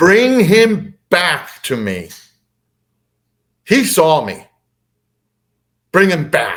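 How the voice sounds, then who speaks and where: A booming, put-on character voice at a middle pitch drags along at a very slow pace with long, frequent pauses. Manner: booming, commanding.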